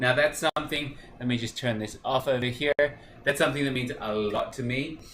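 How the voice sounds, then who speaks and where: Noticeable background noise runs throughout. Through it, a man's voice comes across. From Australia. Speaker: cooking show host. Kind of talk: live cooking stream. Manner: casual, many fillers.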